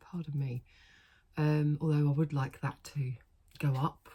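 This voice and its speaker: A woman speaks with a British accent. Her pitch is very deep and low, and her voice is somewhat breathy. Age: 40s. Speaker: vlogger. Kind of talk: casual chat. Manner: chatty, with many fillers.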